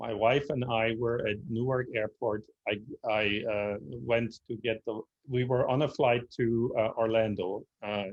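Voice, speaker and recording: His intonation is fairly even. The man talks in a German accent. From Germany, Berlin. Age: 60s. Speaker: speaker on history. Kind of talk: lecture Q&A answer. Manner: halting, many fillers.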